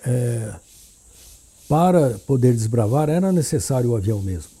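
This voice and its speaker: A man's somewhat breathy voice with a dark, mellow tone, very wide pitch swings and a very slow pace. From Brazil, São Paulo city. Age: 70s. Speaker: town founder's grandson, former pilot. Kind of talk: interview reminiscence. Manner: halting, repeats words.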